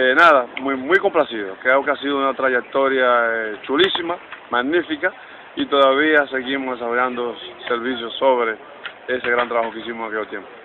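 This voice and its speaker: A man at a moderate pace with fairly even intonation, with noticeable background noise. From Dominican Republic, Santiago. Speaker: baseball coach, former player. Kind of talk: interview. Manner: halting, many fillers.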